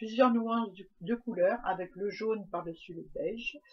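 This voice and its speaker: A woman speaks fairly slowly, and her pitch varies in an ordinary way. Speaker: craft youtuber. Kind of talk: craft tutorial. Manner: hesitant, many fillers.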